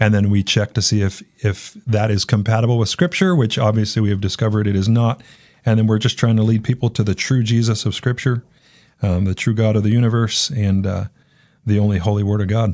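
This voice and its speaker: In a very clean recording with a silent background, a man with a normal speaking voice and an American accent talks at a fairly quick pace and fairly low pitch, with very even loudness and fairly even intonation. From San Diego, California. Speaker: pastor. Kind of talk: radio interview. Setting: studio.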